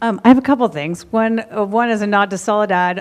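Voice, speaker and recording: Here a woman speaks at a fairly quick pace with fairly even intonation. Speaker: audience member, construction entrepreneur. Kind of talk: audience comment at panel.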